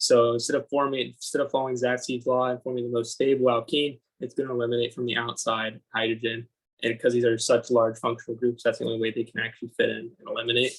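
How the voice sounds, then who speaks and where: Somewhat breathy, a man rushes at a very fast pace with a medium pitch and monotone, flat intonation. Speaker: student tutor. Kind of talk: tutorial.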